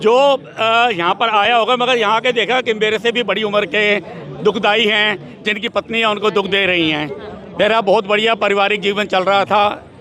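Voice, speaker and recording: Loudness stays very even and intonation fairly even. Noticeable background noise runs underneath. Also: man, high pitch for a man. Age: 60s. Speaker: protester. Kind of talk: street interview.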